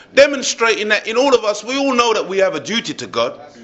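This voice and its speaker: Over noticeable background noise, a man talks at a fairly quick pace in an animated tone with ordinary pitch variation. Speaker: religious speaker. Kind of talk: speech to live audience.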